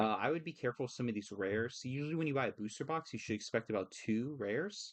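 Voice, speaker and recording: Lively intonation runs through this very fast delivery. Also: man, medium pitch for a man. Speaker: card game content creator. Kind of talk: casual tutorial-style market commentary. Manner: hesitant fillers (uh, um).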